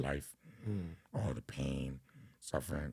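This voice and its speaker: Very deep and low, a man's voice carries a New York accent and vocal fry, with fairly even intonation at a moderate pace. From Brooklyn, New York. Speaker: rapper. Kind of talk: interview answer. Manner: casual.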